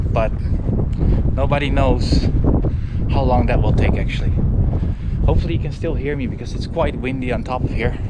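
A man at a fairly quick pace, dry sound with no echo, over loud background noise. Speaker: travel vlogger. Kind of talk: casual vlog chat. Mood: mildly subdued, curious. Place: open country. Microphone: phone near.

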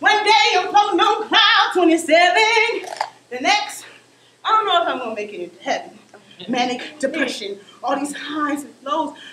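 A woman with an American accent and an extremely high pitch, in a raised, projected voice, at a moderate pace, with very wide pitch swings, big swings in loudness, audible room echo and light background noise. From Oakland, California. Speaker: spoken word poet and performer. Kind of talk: spoken word poetry performance. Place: stage. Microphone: camera far.

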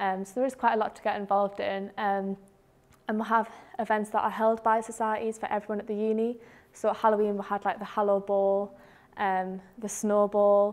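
A woman at a fairly quick pace with monotone, flat intonation. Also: medium pitch for a woman. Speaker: student ambassador; presenter. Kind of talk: casual chat. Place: classroom.

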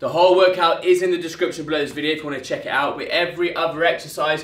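Very fast and monotone, a man talks in a flat voice. His pitch is high, and audible room echo surrounds him. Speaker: fitness trainer. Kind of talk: workout tutorial. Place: gym. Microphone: camera far.

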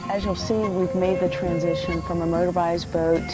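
Clear music plays in the background as a woman speaks, the sound dry with no echo. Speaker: documentary host. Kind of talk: travel show presenting to camera. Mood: calm, enthusiastic.

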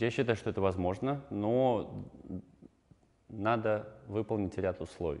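A man with a dark, mellow tone speaks at a fairly slow pace. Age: 20s. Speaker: online entrepreneur; guest. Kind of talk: talking-head interview answers. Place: studio. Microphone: lapel.

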